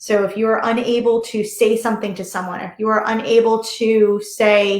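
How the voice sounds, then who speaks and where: With an American accent and audible room echo, a woman speaks at a moderate pace, her fairly high pitch held in a monotone, flat intonation. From US, Delaware. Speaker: reiki master and yoga teacher. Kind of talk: online workshop talk. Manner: halting.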